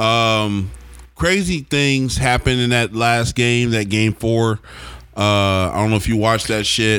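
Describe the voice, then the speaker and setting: A man with an American accent speaks at a moderate pace in a fairly low pitch. Music plays in the background. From Oklahoma. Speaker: podcast host. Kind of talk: casual chat.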